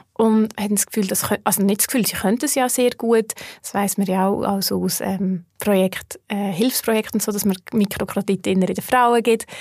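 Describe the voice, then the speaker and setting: Over a very clean recording with a silent background, a woman speaks in a normal speaking voice at a medium pitch and moderate pace, with fairly even intonation and hardly any pauses. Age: 30s. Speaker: personal finance educator. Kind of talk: interview conversation.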